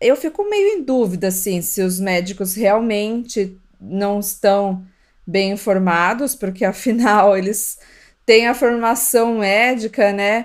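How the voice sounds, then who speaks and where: A woman talks very slowly at medium pitch. Her intonation stays fairly even. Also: very clean recording, silent background. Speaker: podcast co-host, mother. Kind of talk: casual chat.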